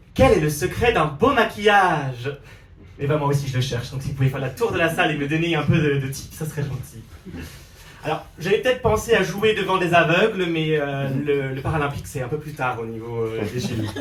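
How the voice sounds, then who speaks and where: In an Alsatian accent, the speaker sounds animated with lively intonation and audible room echo. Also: man, fairly high pitch for a man, fairly quick pace. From Alsace, France. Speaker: drag queen comedian. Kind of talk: stand-up. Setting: stage with audience.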